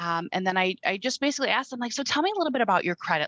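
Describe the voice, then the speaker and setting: Very fast and full of lively intonation, a woman's voice comes through dry and close with no echo. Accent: Wisconsin. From Wisconsin. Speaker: credit repair sales rep. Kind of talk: casual chat.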